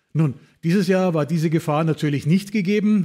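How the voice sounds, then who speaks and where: A man speaks with a dark, mellow tone. His pitch is fairly high, with ordinary variation. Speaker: podcast host. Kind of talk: podcast host talk.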